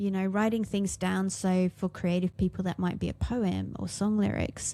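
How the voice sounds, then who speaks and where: A woman with an English accent at a moderate pace. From England. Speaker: musician and podcast co-host. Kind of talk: casual chat.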